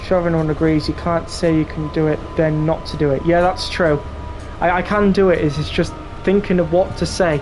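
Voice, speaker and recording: A man with a northeast English accent, high-pitched, in a monotone, flat intonation at a fairly quick pace, with music in the background. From northeast England. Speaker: video game live streamer. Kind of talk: casual live-stream chat with gameplay commentary.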